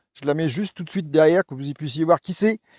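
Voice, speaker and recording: Over a very clean recording with a silent background, a man talks at a very fast pace. His dark, mellow tone and lively intonation come through in a dry, close sound with no echo. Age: 60s. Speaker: vlogger, cycling adventurer. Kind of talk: vlog presentation. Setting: outdoors in a forest. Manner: halting, many hesitations.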